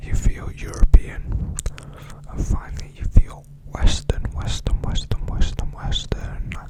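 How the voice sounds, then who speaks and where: A man whispers at a fairly slow pace over noticeable background noise. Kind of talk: ASMR book reading, educational. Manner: soft-spoken.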